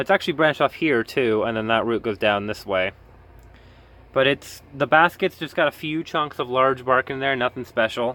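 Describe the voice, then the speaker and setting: At medium pitch, a man talks at a fairly quick pace with ordinary pitch variation. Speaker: orchid grower, hobby video maker. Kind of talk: casual tutorial. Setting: greenhouse. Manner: halting, self-correcting.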